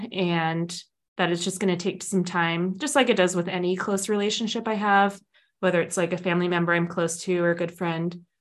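Against a quiet background, a woman with a normal speaking voice talks at a fairly quick pace and a fairly low pitch. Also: fairly even intonation. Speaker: podcast co-host. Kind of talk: casual chat.

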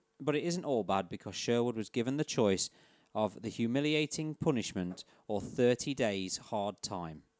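On a very clean recording with a silent background and a dry, close sound with no echo, a man with an English accent speaks at a moderate pace and a medium pitch with lively intonation. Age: 30s. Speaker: podcast host. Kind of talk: reading aloud. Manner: laughing.

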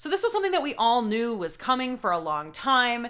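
In an American accent, a woman is talking. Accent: Boston accent, stronger when angry. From New England, Boston area. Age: 30s. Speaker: podcast co-host. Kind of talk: casual chat.

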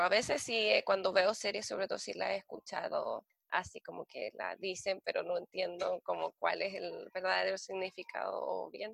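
A woman with a Chilean accent speaks in a dry, close sound with no echo. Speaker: working holiday traveler. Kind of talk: casual interview. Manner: halting, repeats words.

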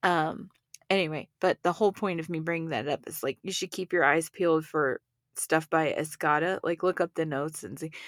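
An ordinary speaking voice at a fairly quick pace, with ordinary pitch variation and a dry, close sound with no echo, in a very clean recording with a silent background. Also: woman, fairly low pitch for a woman. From Texas. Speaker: podcast co-host. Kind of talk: casual chat.

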